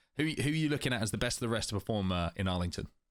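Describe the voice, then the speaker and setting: A man speaks at a very fast pace with an English accent and ordinary pitch variation. The recording is very clean, with a silent background. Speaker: esports podcast host. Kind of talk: casual discussion.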